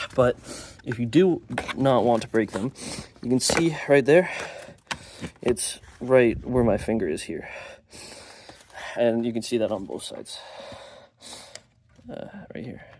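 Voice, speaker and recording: Over noticeable background noise, a man speaks at a fairly slow pace with lively intonation and long, frequent pauses. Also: medium pitch for a man. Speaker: amateur car mechanic. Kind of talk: casual DIY repair tutorial. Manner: casual, hesitant, many filler words.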